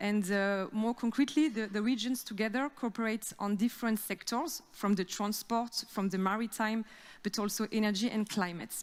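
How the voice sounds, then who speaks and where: Speaking with a French accent at a moderate pace, a woman has a fairly high pitch and ordinary pitch variation. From France. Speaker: regional cooperation officer. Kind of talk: conference presentation. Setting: theater stage with audience. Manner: halting, many fillers.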